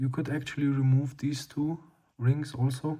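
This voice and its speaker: The delivery is fairly slow. A non-native accent comes through. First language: not English. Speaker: lens restoration hobbyist. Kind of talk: tutorial. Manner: hesitant, many fillers.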